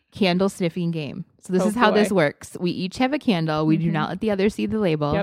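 A woman's enthusiastic, fairly quick delivery in a Wisconsin accent, at medium pitch with lively intonation, hardly any pauses, and a dry, close sound with no echo. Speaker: podcast co-host. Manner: chatty, enthusiastic.

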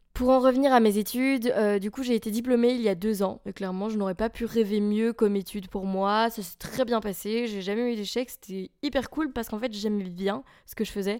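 Very clean recording, silent background, a woman's fairly high voice with a dark, mellow tone, fairly even intonation and moderate pace. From Belgium, near Charleroi. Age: 20s. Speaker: podcaster and musician. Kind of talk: casual monologue.

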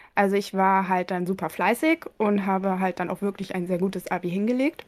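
Recorded very cleanly against a silent background, with a dry, close sound and no echo, a woman speaks in an ordinary speaking voice at a medium pitch, moderate pace and ordinary pitch variation. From East Frisia, northern Germany. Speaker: veterinarian. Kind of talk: interview. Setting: home office.

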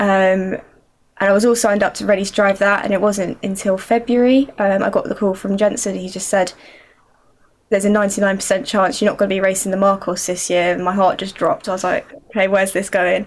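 In a southern English accent, the speaker goes at a fairly quick pace with monotone, flat intonation. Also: woman, medium pitch for a woman. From Surrey, southern England. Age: 20s. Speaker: racing driver. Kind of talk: interview answers.

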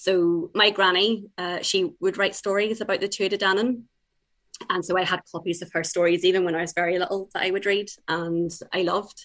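In an Irish accent, a woman speaks at a fairly quick pace and a medium pitch with flat, monotone intonation. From Ireland (born in England, moved young). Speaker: debut novelist. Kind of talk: interview.

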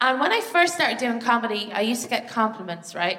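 Noticeable background noise behind a woman's fairly high voice at a fairly quick pace. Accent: Irish. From Ireland. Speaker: stand-up comedian. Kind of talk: stand-up. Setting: theatre stage with live audience.

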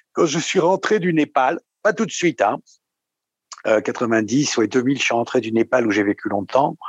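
A man's voice with very wide pitch swings at a moderate pace, dry and close with no echo. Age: 60s. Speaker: psychoanalysis patient. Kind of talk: testimony. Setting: video call. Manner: halting.

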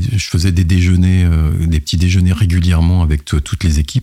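Talking at a moderate pace, the man has a very deep, low pitch. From France, partly raised in Madagascar. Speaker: IT operations executive. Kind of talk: interview. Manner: halting, frequent repetitions.

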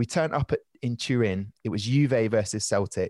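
A man with a southern English accent speaks at medium pitch and a moderate pace with ordinary pitch variation, in a dry, close sound with no echo and a quiet background. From southern England, Southampton. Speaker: stand-up comedian and travel presenter. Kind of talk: casual interview chat.

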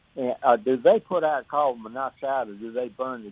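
Here is a man with an ordinary speaking voice at a medium pitch. His pace is moderate and his pitch variation ordinary. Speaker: caller. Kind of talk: phone call-in question. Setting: phone call.

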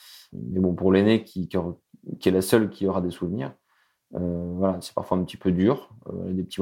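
The speaker talks at a moderate pace while music plays in the background. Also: man. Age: 30s. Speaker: widower sharing his story. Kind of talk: testimony. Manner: halting.

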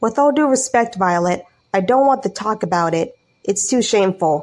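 A shaky, put-on character voice speaks at a moderate pace. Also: woman, medium pitch for a woman. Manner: whimpering.

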